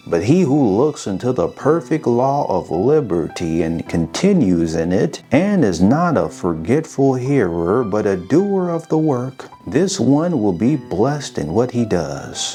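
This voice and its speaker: A man speaks in a calm, soothing tone at medium pitch, his pitch swinging very widely. He talks at a fairly slow pace with hardly any pauses over background music. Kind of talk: scripture reading.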